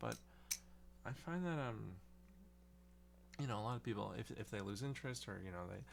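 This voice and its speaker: This soft-spoken voice moves at a fairly quick pace. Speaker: balisong hobbyist video creator. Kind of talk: casual monologue. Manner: halting.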